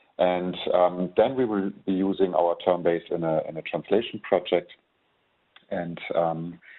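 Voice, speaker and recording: Speaking fairly slowly with a German accent, a man uses a very deep, low voice and fairly even intonation. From Germany. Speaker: software trainer. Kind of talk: webinar tutorial. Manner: hesitant, many fillers.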